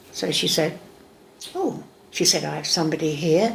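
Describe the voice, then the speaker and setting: A woman speaks in a Cockney accent against noticeable background noise. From England. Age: 70s. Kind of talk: interview answer. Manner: sassy, lively storytelling.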